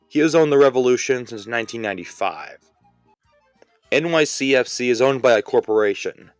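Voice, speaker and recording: Music plays in the background while a man speaks, the sound dry and close with no echo. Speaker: sports explainer YouTuber. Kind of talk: casual explainer narration. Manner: wry, sarcastic.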